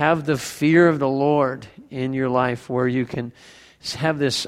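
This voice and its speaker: A man with a normal speaking voice talks fairly slowly at a fairly high pitch, on a very clean recording with a silent background. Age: 50s. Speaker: pastor. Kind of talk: sermon.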